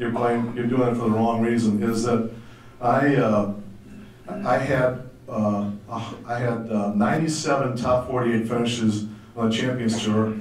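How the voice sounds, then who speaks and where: At a moderate pace and medium pitch, a man talks in a monotone, flat way with long, frequent pauses, amid noticeable background noise and audible room echo. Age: 60s. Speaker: former professional golfer, fellowship speaker. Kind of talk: testimony.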